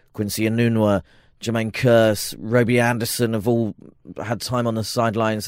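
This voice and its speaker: In a British accent, a man with a medium pitch talks at a fairly quick pace in a monotone, flat intonation, recorded very cleanly against a silent background with a dry, close sound and no echo. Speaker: NFL podcast co-host. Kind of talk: casual sports chat. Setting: studio.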